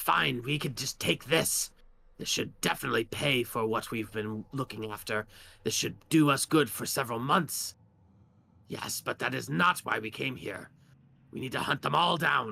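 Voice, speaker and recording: A man speaks in a put-on character voice at a medium pitch and a moderate pace, with lively intonation, on a very clean recording with a silent background. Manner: harsh.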